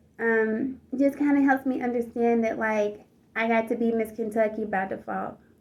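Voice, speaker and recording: A woman with an American accent speaks at a moderate pace in a fairly high, monotone, flat voice. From US South, Georgia. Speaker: pageant contestant. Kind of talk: personal storytelling vlog. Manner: casual, with many fillers.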